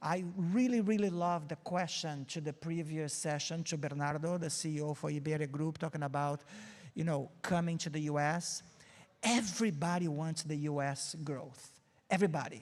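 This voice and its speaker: In a very clean recording with a silent background, a man with a Brazilian accent speaks at a moderate pace, with a fairly high pitch and ordinary pitch variation. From Brazil, Rio de Janeiro. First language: Portuguese. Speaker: marketing agency CEO, keynote speaker. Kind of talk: keynote talk. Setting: stage with audience.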